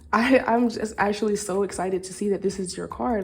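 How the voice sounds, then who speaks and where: A woman talks at a fairly quick pace. Her intonation stays monotone and flat. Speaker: tarot reader. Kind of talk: intuitive card reading to camera. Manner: fast; slurred words.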